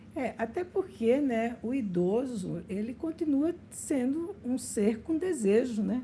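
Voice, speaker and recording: A high-pitched woman's voice, very slow, dark and mellow in tone, with lively intonation. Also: hardly any pauses. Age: 60s. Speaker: podcast host. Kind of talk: interview conversation.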